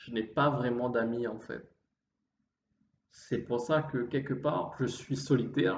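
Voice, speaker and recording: Pausing long and often, a man speaks at a very slow pace in a somewhat breathy, medium-pitched voice with fairly even intonation. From Réunion. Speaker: vlogger. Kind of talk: improvised monologue. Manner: halting.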